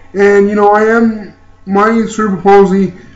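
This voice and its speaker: A man speaks at a high pitch. Audible room echo and noticeable background noise fill the recording. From Ontario, Canada. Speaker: YouTuber and motivational speaker. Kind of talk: personal vlog testimony. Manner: halting, many fillers.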